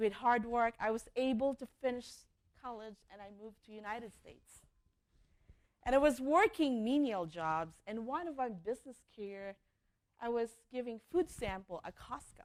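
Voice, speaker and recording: A woman speaks in a plain, everyday voice at a moderate pace. Her intonation is lively, and her loudness swings widely. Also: fairly high pitch for a woman. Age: young. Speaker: entrepreneur. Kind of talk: keynote speech.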